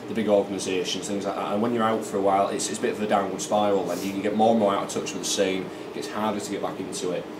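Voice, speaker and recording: Amid noticeable background noise, a man rattles along at a very fast pace with hardly any pauses, in a fairly low pitch and a monotone, flat intonation. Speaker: esports shoutcaster. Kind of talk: casual interview answer.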